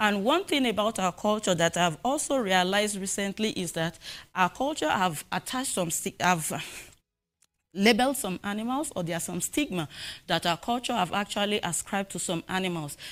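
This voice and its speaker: Her intonation is lively as she speaks at a moderate pace. The woman's voice sits at a medium pitch in a very clean recording with a silent background. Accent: Nigerian. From Nigeria, southwest (Yoruba). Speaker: animal welfare researcher. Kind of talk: conference presentation. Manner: halting, with frequent fillers.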